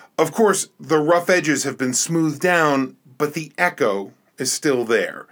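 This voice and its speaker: Fairly slow speech on a very clean recording, the background silent. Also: man, fairly high pitch for a man, ordinary pitch variation. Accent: New Jersey. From New Jersey. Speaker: podcast host. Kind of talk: reflective monologue. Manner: thoughtful, measured with hesitations.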